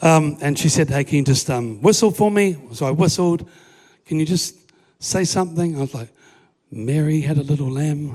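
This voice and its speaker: A man's fairly high, somewhat breathy voice with a dark, mellow tone, ordinary pitch variation and a moderate pace. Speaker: preacher. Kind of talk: sermon. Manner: halting.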